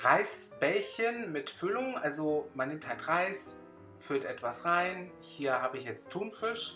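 With clear music in the background, a man speaks with very wide pitch swings. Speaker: YouTuber. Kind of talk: casual talk to camera. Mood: enthusiastic about food. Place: cafe. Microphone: phone near.

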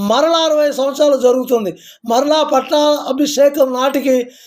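A man speaks at an extremely high pitch with fairly even intonation. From Telangana, Bhadradri Kothagudem (Charla, near Bhadrachalam). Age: 50s. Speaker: community activist. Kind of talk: devotional talk to camera.

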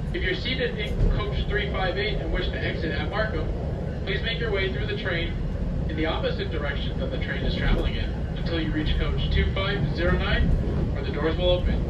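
Loud background noise runs beneath a man speaking at a moderate pace. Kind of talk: public announcement. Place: train.

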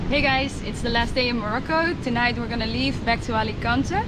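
A woman talking at a moderate pace over loud background noise. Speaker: travel vlogger. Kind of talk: casual vlog chat. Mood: cheerful, a bit wistful. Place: beach. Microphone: phone near.

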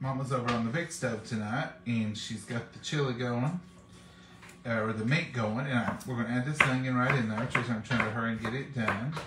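A man at a moderate pace with ordinary pitch variation over noticeable background noise. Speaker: home cook vlogger. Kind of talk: casual cooking vlog chat. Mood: relaxed, chatty. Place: kitchen. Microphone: phone near.

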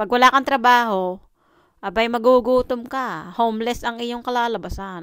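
A woman with a plain, everyday voice and a fairly high pitch talks at a moderate pace with fairly even intonation, in a dry sound with no echo. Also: quiet background. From Philippines. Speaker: vlogger. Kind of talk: casual vlog monologue. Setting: at home. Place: home room. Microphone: phone near.

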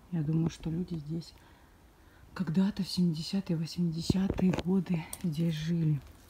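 Noticeable background noise runs under a woman's voice. She speaks very slowly in a flat monotone. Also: long, frequent pauses. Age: 20s. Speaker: vlogger. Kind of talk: walking vlog tour. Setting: outdoors.

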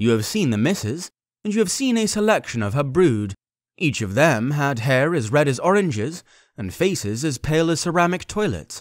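A man's fairly high voice with very wide pitch swings on a very clean recording with a silent background. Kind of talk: audiobook-style fiction narration read aloud.

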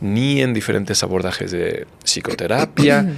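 Lively intonation runs through speech delivered at a moderate pace. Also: man. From Mexico. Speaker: physician; guest. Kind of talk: interview conversation. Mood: calm, reflective. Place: studio. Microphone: studio mic.

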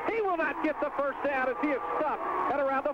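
A man talking at a fairly quick pace, with a dry sound, no echo, and noticeable background noise. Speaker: play-by-play announcer. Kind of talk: sports commentary. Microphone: old recording.

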